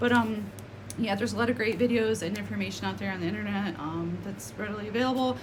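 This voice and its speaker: A woman with an American accent, amid noticeable background noise and audible room echo. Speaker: spiritual content creator. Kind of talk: casual vlog monologue. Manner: fast; hesitant, many fillers.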